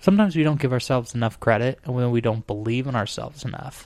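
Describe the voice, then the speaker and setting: Very fast, nearly pause-free delivery with an American accent. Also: man. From Arizona. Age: 20s. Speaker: podcast host. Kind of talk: casual chat.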